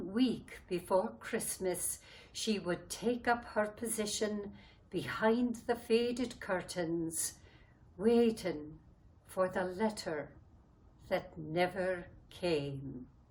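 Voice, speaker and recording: Speaking at a very slow pace, a woman has a medium pitch and lively intonation. Her voice is somewhat breathy. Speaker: dialect coach. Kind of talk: short story reading.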